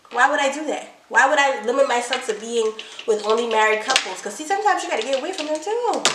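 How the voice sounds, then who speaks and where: Over noticeable background noise and audible room echo, a woman talks at a fairly quick pace in a high pitch with lively intonation. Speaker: couples channel co-host. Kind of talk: casual chat. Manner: fast; animated.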